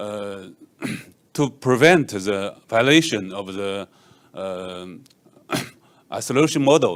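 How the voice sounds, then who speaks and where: A man with a Chinese accent speaks in a fairly low pitch with lively intonation and big swings in loudness. His pace is very slow, broken by long, frequent pauses. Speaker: software engineer; conference presenter. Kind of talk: conference talk. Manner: halting, many fillers. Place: hall. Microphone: handheld.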